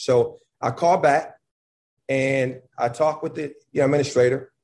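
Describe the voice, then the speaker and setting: He has an American accent and sounds somewhat breathy. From Buffalo, New York. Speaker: college basketball head coach. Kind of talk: casual chat. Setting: video call.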